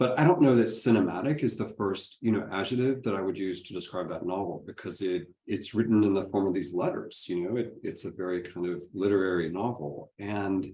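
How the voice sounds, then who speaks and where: With an American accent, a man speaks in a fairly low pitch with a dark, mellow tone. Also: ordinary pitch variation, fairly quick pace, hardly any pauses. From Texas. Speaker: moderator. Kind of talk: panel discussion.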